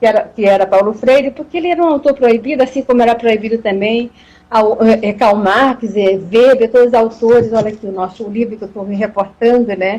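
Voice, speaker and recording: With a dark, mellow tone and fairly high pitch, a woman speaks at a fairly quick pace and ordinary pitch variation. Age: 60s. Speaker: professor. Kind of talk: live talk. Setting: Instagram live video. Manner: halting, with repetitions.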